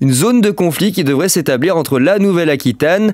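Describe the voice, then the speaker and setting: The speaker moves at a fairly quick pace with very wide swings in pitch. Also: man. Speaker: weather forecaster youtuber. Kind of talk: weather forecast commentary. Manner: hesitant, many fillers.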